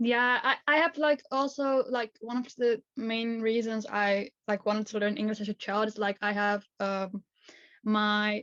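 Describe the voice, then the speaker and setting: The sound is dry and close, with no echo. A woman with a fairly high pitch talks at a fairly slow pace. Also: fairly even intonation. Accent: Dutch. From Netherlands. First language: Dutch. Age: 20s. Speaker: journalism student and activist. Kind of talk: podcast interview. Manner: halting, many fillers.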